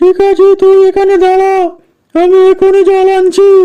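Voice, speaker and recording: In a cartoonish character voice, a woman speaks at a moderate pace with an extremely high pitch and monotone, flat intonation. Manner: scolding, rude.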